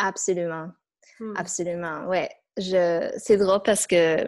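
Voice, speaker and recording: A woman speaks at a medium pitch and a very slow pace. The recording is very clean, with a silent background. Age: 30s. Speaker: former dancer and feng shui practitioner. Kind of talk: casual interview. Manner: halting.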